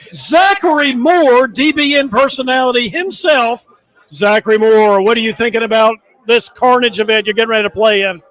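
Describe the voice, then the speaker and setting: Extremely high in pitch for a man, this American-accented speaker talks at a moderate pace with lively intonation. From US South. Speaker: tournament reporter. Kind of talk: event interview. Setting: tournament dinner at a resort hotel.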